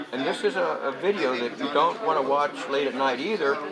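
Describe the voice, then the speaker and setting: Lively intonation against audible room echo and noticeable background noise. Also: man. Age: 70s. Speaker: Vietnam-era veteran and convention speaker. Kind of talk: casual interview. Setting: political convention.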